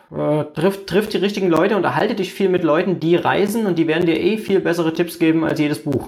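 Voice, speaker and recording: Very fast delivery with hardly any pauses, very even loudness and fairly even intonation, over noticeable background noise. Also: man, high pitch for a man. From Germany. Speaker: internet marketer. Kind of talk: interview. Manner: hesitant with frequent fillers.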